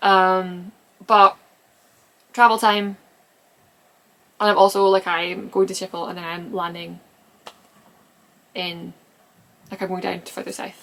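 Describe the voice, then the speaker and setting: A woman mumbles fairly slowly at a medium pitch, with monotone, flat intonation. Her loudness swings a lot, and she pauses long and often. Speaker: knitter and knitting pattern designer. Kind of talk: casual podcast talk to camera. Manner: rambling, mumbling.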